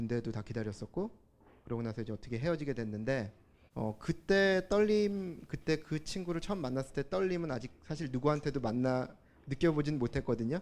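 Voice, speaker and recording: Here is a man with an ordinary speaking voice. His intonation is lively. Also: fairly high pitch for a man, fairly quick pace. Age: 30s. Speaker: audience member. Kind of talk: personal testimony. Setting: stage with audience.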